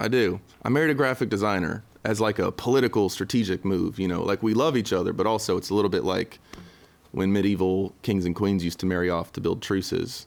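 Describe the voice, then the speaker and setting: In a very clean recording with a silent background, a man with a Southern US accent speaks at a fairly quick pace, fairly low in pitch, with ordinary pitch variation. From western North Carolina. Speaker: singer-songwriter. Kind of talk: casual interview. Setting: studio. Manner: hesitant, many fillers.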